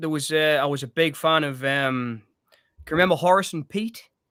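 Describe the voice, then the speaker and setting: A man with a Northeast English accent speaks at a fairly quick pace. His pitch is fairly high, and the sound is dry and close with no echo. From Northeast England. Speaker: film podcast co-host. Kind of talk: casual chat. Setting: live stream.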